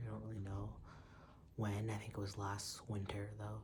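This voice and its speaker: Soft-spoken and somewhat breathy, a man talks at a fairly quick pace in a fairly low voice. Audible room echo is present. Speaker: video blogger. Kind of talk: personal vlog monologue. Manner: quiet, soft-spoken; halting.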